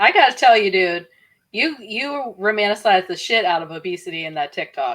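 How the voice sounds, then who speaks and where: Very wide pitch swings and big swings in loudness in an Appalachian accent, at a fairly quick pace, on a very clean recording with a silent background. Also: woman, medium pitch for a woman. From West Virginia. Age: 30s. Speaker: podcast co-host. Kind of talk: casual chat.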